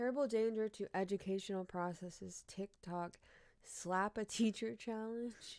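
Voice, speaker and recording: In a dry, close sound with no echo, a woman speaks with an animated tone. Her pitch is medium and her pace fairly slow. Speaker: streamer. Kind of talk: casual live-stream commentary reading news headlines. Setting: live stream at home.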